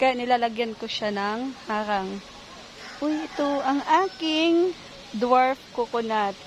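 Speaking at a very slow pace, a woman uses lively intonation. Her pitch is high. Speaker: vlogger, ESL teacher and home gardener. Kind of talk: casual garden vlog. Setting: outdoors in garden. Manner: casual, halting with fillers.

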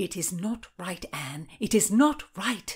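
A woman does a put-on character voice with a husky, rough edge and big pitch swings at a medium pitch. She goes at a slow pace in a very clean recording with a silent background.

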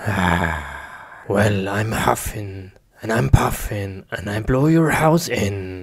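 A put-on character voice moves at a slow pace. Its intonation is lively.

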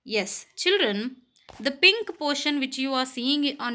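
A woman's high, bright and sharp voice, raised and projected, with lively intonation on a very clean recording over a silent background. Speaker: school teacher. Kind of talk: reading aloud; lecture.

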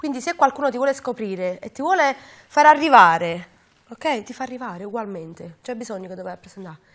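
In a Neapolitan accent, the speaker rushes along at a very fast pace, pitch swinging very widely and loudness rising and falling in big swings over a quiet background. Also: woman, fairly high pitch for a woman. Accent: Neapolitan Italian. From Naples, Capodichino; Naples. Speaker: singer; interview guest. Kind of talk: interview. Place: studio. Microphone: lapel.

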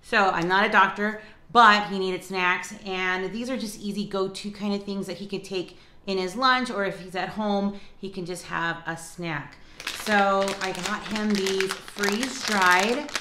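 A woman at a fairly slow pace, fairly even intonation, and audible room echo around her. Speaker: lifestyle vlogger. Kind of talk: casual vlog chat. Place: kitchen. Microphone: phone near.

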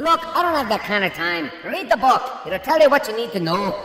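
Delivered at a fairly quick pace with a clear echo, a put-on character voice sits fairly high and jumps through very wide pitch swings. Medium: comedy sketch. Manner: dry, matter-of-fact.

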